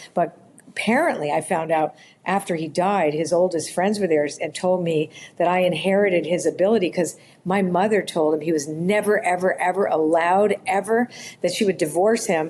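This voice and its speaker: A woman with a Canadian accent has a plain, everyday voice and a fairly low pitch. Her pace is moderate, with ordinary pitch variation and very even loudness. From Canada, Toronto. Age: 60s. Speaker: author and spiritual intuitive. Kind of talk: podcast interview, personal storytelling.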